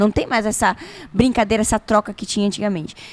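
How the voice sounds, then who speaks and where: A woman speaks at a fairly high pitch. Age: 30s. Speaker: podcast co-host. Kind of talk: casual chat.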